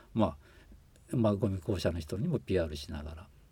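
With a dark, mellow tone and a somewhat breathy sound, a man talks at a fairly quick pace with lively intonation. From Shiga, Japan. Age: 60s. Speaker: former overseas volunteer, environmental consultant. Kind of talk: interview. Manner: halting, many fillers.

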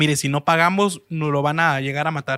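A man's normal speaking voice at a fairly high pitch and fairly quick pace, in a very clean recording with a silent background and a dry, close sound with no echo. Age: 20s. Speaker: restaurant entrepreneur. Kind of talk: interview storytelling.

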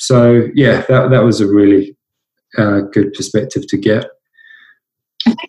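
A man at medium pitch with a dark, mellow, somewhat breathy tone, fairly even intonation, a fairly slow pace and long, frequent pauses. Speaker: coffee company creative director. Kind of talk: casual interview. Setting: conference call from home kitchen.

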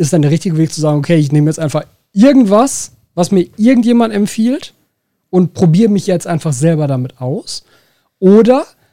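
Speaking with a Ruhr accent, a man uses lively intonation and a dark, mellow tone at a fairly quick pace. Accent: Ruhr area German. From Ruhr area, Germany. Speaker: podcast host, aquascaping shop owner. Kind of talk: casual chat.

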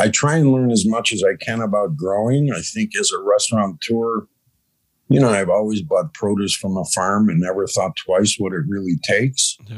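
Moderate in pace, the speech shows ordinary pitch variation. It is an ordinary speaking voice with an American accent. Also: man, medium pitch for a man. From Chicago, US Midwest. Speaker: cannabis farm manager, former restaurateur. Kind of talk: casual interview chat.

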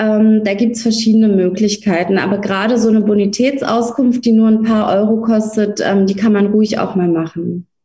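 A woman speaks at a moderate pace with hardly any pauses, her fairly high, somewhat breathy voice carrying a dark, mellow tone. The intonation is monotone and flat. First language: Russian (speaking German). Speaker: lawyer. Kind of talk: interview.

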